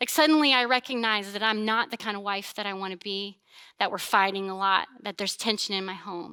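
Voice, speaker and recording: A woman speaks loudly at a moderate pace in an animated, bright, sharp tone, on a very clean recording with a silent background. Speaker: pastor. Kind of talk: sermon.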